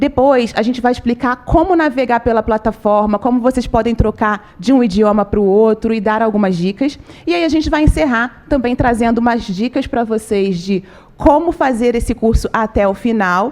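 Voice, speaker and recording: An animated woman's voice, fairly high in pitch, at a moderate pace. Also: ordinary pitch variation. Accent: Rio de Janeiro. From Rio de Janeiro, Brazil (suburbs). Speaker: communications manager, webinar presenter. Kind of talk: live webinar presentation. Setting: studio, live stream.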